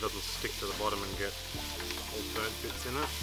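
The sound is dry, with no echo. Loud music plays in the background. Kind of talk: tutorial. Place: open country.

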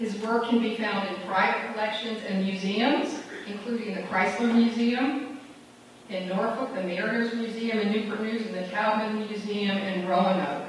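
A woman at a moderate pace with fairly even intonation, light background noise and strong room echo. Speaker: college host introducing speaker. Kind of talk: formal introduction speech. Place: hall.

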